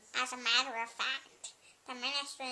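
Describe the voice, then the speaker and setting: A woman performs a put-on character voice at a high pitch. Her intonation stays monotone and flat. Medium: read story. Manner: kindly.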